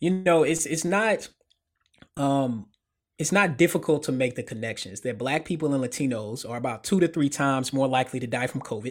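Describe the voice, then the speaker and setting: A plain, everyday voice: a man with an American accent, fairly high pitch, ordinary pitch variation and a fairly quick pace, in a very clean recording with a silent background. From US South, middle Tennessee. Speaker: sociologist. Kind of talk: interview.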